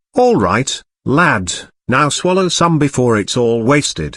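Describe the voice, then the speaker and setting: A man uses a put-on character voice with very wide pitch swings and fairly high pitch. He talks at a fairly slow pace against a quiet background. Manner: gentle, kindly.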